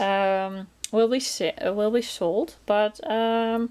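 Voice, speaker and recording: Speaking with a Dutch accent, a woman uses a fairly high pitch and ordinary pitch variation. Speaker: crafting vlogger. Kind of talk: casual chat. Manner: chatty, hesitant with many fillers.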